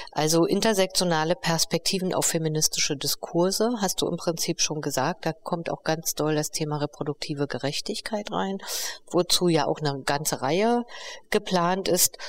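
A woman speaks at a moderate pace in an ordinary speaking voice, her pitch fairly low with ordinary variation. The sound is dry and close, with no echo. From East Berlin, Germany. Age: 50s. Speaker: co-founder and director of a feminist project. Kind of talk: interview conversation. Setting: on location at the project.

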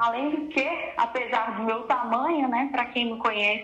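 High female pitch at a fairly slow pace, with ordinary pitch variation. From Brazil, Paraná (Jacarezinho). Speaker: ballroom dance teacher and DJ. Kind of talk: casual chat.

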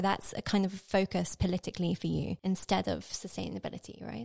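The voice has a dark, mellow tone and speaks with a British accent. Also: woman. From Britain. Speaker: podcast producer, intern. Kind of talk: casual panel discussion.

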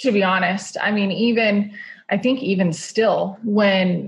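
A somewhat breathy woman's voice at medium pitch, with an American accent. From Utah. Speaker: motivational speaker and rodeo rider. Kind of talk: interview.

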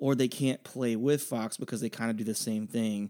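The recording is very clean, with a silent background. A man with an unremarkable speaking voice talks with fairly even intonation. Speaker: podcast co-host. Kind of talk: casual chat.

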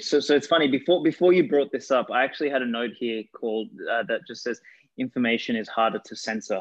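A man with an Australian accent at a medium pitch, fairly quick pace and ordinary pitch variation. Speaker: podcast host. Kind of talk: podcast interview.

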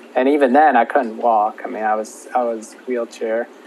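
Noticeable background noise runs through the clip. A man speaks with fairly even intonation. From Minnesota. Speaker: meningitis survivor. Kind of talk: casual interview.

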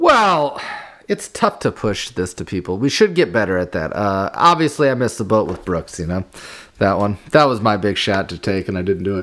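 A man with a plain, everyday voice, fairly low pitch, lively intonation and a moderate pace. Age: 30s. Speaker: podcast co-host. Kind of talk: casual chat.

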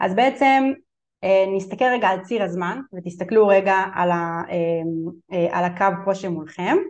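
Using a plain, everyday voice, a woman speaks at medium pitch and a fairly slow pace with ordinary pitch variation. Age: 30s. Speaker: family law attorney. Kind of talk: webinar lecture. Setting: online webinar.

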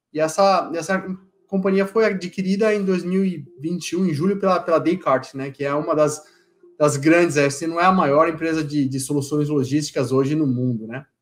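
A man with a normal speaking voice talks at a moderate pace, with ordinary pitch variation. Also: fairly high pitch for a man. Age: 40s. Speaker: solutions engineer in logistics. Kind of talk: casual interview.

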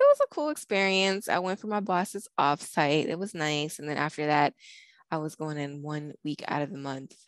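Recorded very cleanly against a silent background, a woman with an American accent speaks at a very deep, low pitch with ordinary variation, the sound dry and close with no echo. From northern US. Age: 30s. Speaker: podcast co-host. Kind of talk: casual chat.

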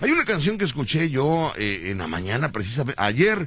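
Very wide pitch swings and vocal fry in a man's voice. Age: 40s. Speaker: radio host. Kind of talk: comedy radio show. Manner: animated.

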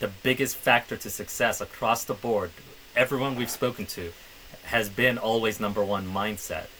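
A man speaks at a medium pitch and a moderate pace with fairly even intonation. Noticeable background noise is present. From Middle East, Somali background. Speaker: podcast co-host. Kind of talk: casual chat.

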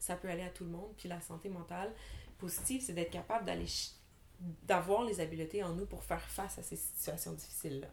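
The speech has long, frequent pauses, and audible room echo can be heard. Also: woman. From Montreal, Quebec (Anjou). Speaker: podcast co-host, criminologist. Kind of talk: casual chat.

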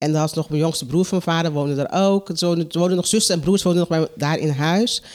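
The voice moves at a fairly quick pace with fairly even intonation. Its recording is very clean, with a silent background. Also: woman. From Curaçao. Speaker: coach and care worker. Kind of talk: casual interview. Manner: halting.

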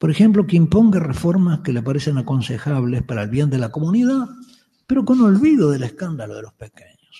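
Fairly high in pitch, a man talks at a fairly quick pace with very wide pitch swings and big swings in loudness. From Uruguay, Montevideo. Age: 70s. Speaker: Jesuit priest and Bible scholar giving a lecture. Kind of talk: conference lecture.

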